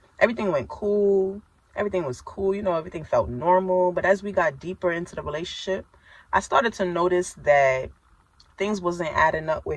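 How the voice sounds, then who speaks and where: A woman's fairly low voice at a fairly quick pace. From New York. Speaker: survivor telling her story, channel host. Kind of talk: personal testimony on a livestream. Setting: live social media stream. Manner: tough, not soft-spoken; animated, conversational.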